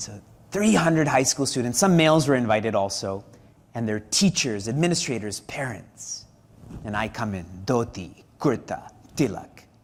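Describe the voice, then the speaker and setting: Using a plain, everyday voice, a man with a Canadian accent talks at a moderate pace and medium pitch with lively intonation. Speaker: spiritual teacher. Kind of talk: religious discourse.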